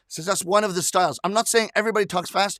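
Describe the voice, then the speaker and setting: Recorded dry and close with no echo, a man speaks with a high pitch and a bright, sharp tone. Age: 50s. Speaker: rakugo storyteller. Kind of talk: live stream chat. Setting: studio. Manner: fast.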